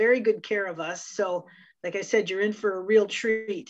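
Against a quiet background, a woman is talking. She keeps a moderate pace. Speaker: marketing director hosting webinar. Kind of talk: webinar introduction.

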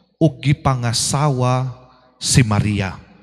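A somewhat breathy man against a quiet background. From Philippines. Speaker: priest. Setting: church. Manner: formal; earnest, steady preaching with rhetorical questions. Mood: earnest, devotional. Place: church. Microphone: handheld.

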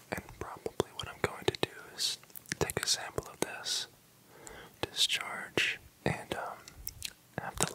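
A man whispers at a fairly slow pace. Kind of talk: roleplay medical exam talk. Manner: soft, quiet ASMR doctor voice. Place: home room.

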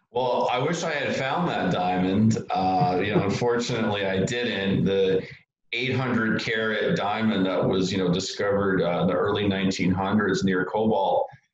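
Audible room echo surrounds a man whose fairly low pitch shows ordinary variation as he talks at a moderate pace. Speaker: market commentator guest. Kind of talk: interview answer. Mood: relaxed, opinionated. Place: home room. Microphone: video call.

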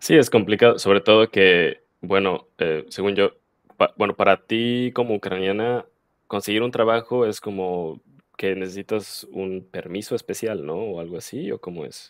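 A man's fairly low voice at a fairly slow pace, with ordinary pitch variation and big swings in loudness, dry with no echo, quiet background. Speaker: podcast host and Spanish teacher; podcast host, Spanish teacher. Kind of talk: interview. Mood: friendly, curious. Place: home room. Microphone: headset.

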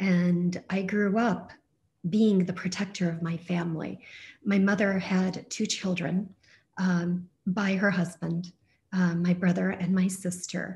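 A woman's somewhat breathy voice, fairly slow and monotone with flat intonation. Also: medium pitch for a woman. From US (raised from age six), born in Turkey. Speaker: storyteller, poet. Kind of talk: personal storytelling monologue. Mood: reflective, warm. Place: home room. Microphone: video call.

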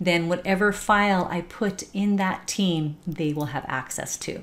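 A woman talks at a moderate pace in an ordinary speaking voice. Her pitch is fairly low and her intonation fairly even. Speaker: software trainer. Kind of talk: tutorial. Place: home room. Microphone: webcam.

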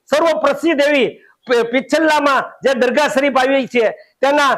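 This man's voice is extremely high-pitched, with ordinary pitch variation. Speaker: former city councillor. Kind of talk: statement to news camera.

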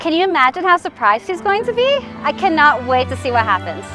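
A woman's voice with clear music in the background. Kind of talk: casual vlog chat.

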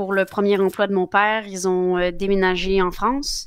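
Against a quiet background, a woman speaks at a fairly slow pace with fairly even intonation, the sound dry with no echo. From Quebec. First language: Spanish (speaking French). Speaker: politician; politician interviewee. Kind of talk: interview. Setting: live broadcast. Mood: calm, friendly. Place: home room. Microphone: headset.

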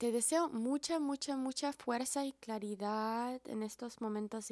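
A woman speaks with an American accent at a fairly slow pace and a fairly high pitch. The background is quiet, and the sound is dry with no echo. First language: English (speaking Spanish). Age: 30s. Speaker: herbalist and video blogger; wellness content creator. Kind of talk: monologue to camera. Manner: halting, repeats words. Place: home room. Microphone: handheld.

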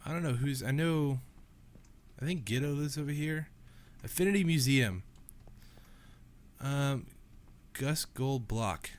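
A nasal man talks at a slow pace and medium pitch, with ordinary pitch variation and long, frequent pauses.

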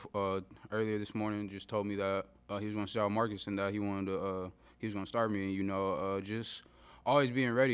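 This man's fairly low voice races along at a very fast pace. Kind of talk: interview answer. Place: meeting room. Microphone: podium.

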